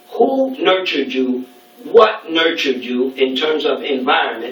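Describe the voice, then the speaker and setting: In a New York accent, a high-pitched man speaks at a fairly slow pace amid audible room echo and noticeable background noise. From New York City, Brooklyn. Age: 60s. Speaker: speaker at a student event. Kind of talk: lecture. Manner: halting.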